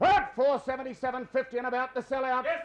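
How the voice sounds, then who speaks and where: A man's extremely high-pitched voice with an Australian accent. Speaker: livestock auctioneer. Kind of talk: cattle auction calling. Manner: fast, polished.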